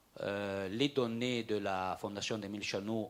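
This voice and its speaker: A man speaks at a fairly slow pace and a fairly low pitch. He has a Franco-Provençal region accent. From Aosta Valley, Italy. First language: Franco-Provençal (speaking French). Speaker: regional politician. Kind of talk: panel discussion. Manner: halting, many repetitions.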